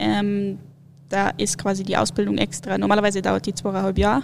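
Vocal fry at a fairly quick pace. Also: woman. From Munich, Bavaria. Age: 20s. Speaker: alpine ski racer. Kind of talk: casual interview.

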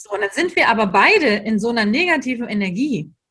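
Very wide pitch swings run through a woman's speech at a fairly high pitch. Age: 30s. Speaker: educator and trainer for childcare staff. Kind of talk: interview.

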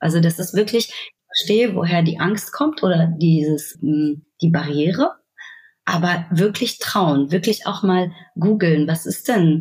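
A woman talks at a very slow pace in a fairly low, somewhat breathy voice. Her pitch varies in an ordinary way. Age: 30s. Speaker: fintech key account manager. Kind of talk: casual interview.

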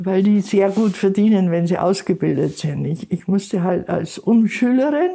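With a dark, mellow tone and lively intonation, a woman speaks at a moderate pace and a medium pitch. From Bavaria, Chiemgau. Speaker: retiree living in poverty. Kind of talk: interview.

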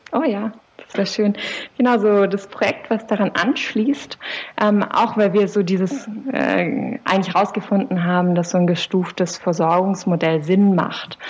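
Noticeable background noise is present. The pace is fairly slow and the pitch varies in an ordinary way. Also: woman, medium pitch for a woman. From southern Germany, Swabian Jura. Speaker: psychologist and doctoral researcher. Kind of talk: interview. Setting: video call.

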